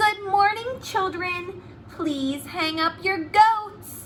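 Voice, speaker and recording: Someone speaks very slowly in a put-on character voice. Background noise is clearly heard. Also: woman, extremely high pitch for a woman. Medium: read story. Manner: cheerful, matter-of-fact.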